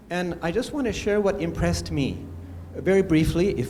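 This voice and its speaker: A man's fairly high-pitched voice in audible room echo. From India. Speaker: anthropologist and teacher. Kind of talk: conference talk. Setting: conference room.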